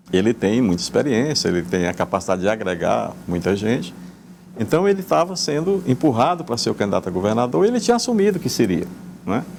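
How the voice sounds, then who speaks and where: Talking at a very fast pace, a man moves through very wide pitch swings. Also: medium pitch for a man. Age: 70s. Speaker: politician, former mayor. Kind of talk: TV interview. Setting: TV studio. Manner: halting, repeats words.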